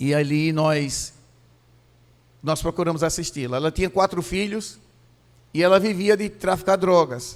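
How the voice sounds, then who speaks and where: This man talks at a fairly slow pace with long, frequent pauses. His pitch is high, with ordinary variation. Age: 60s. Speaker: pastor. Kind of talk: sermon. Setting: church.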